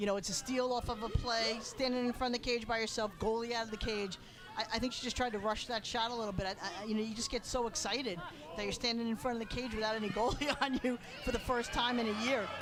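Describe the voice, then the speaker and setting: Over noticeable background noise, a woman talks at a very fast pace with a Long Island accent. Her pitch is fairly high and her intonation fairly even. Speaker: lacrosse color commentator. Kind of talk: live sports commentary. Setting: broadcast booth.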